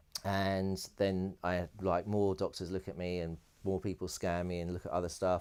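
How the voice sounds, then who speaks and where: A man with a British accent speaks in a very deep voice, his intonation monotone and flat, on a very clean recording with a silent background. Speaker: electronic music producer and DJ. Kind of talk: interview, personal storytelling. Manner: fast.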